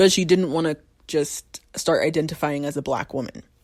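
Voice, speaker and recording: An American-accented woman at a moderate pace, animated in tone, with ordinary pitch variation. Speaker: podcast host. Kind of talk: casual solo podcast talk. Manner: animated, with many fillers.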